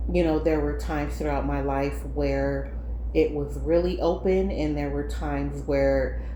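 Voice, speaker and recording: A woman with a very deep, low pitch speaks at a moderate pace over noticeable background noise and audible room echo. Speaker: paranormal storyteller. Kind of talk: personal storytelling. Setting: living room at home. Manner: hesitant, many fillers.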